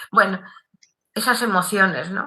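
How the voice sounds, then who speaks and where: A woman speaks at a medium pitch with fairly even intonation. Her tone is bright and sharp. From Canary Islands, La Palma. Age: 80s+. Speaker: writer and former teacher. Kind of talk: interview. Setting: video call.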